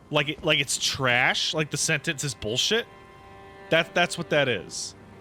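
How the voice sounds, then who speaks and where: With music playing in the background, a man speaks at a fairly slow pace and with lively intonation. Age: 30s. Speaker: video game streamer. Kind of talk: casual livestream chat. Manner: halting, with repeated words.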